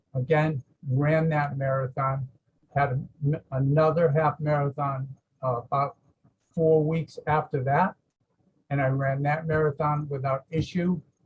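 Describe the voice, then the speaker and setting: A man with a Boston accent, fairly high in pitch and somewhat breathy, at a fairly slow pace with monotone, flat intonation. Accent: Boston-area New England. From Massachusetts. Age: 70s. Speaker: patient giving a testimonial. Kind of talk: testimony. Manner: halting, many fillers.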